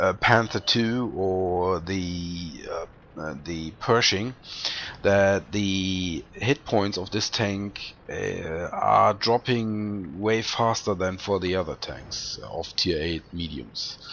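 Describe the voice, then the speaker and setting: At a very slow pace, a man speaks in a fairly low pitch with ordinary pitch variation. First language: not English. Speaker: gameplay commentator. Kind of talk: video game commentary. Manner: halting, many fillers.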